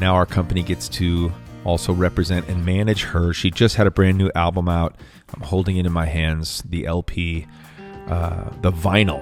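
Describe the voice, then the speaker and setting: The speaker talks at a moderate pace with ordinary pitch variation. Music plays in the background. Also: man. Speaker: podcast host, songwriter. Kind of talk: podcast interview questions.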